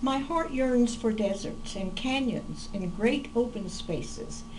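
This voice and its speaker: A woman with an American accent and a fairly high pitch, very slow and with ordinary pitch variation, amid noticeable background noise and audible room echo. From Oklahoma, US. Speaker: poet. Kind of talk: casual personal introduction; poetry reading. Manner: hesitant with fillers.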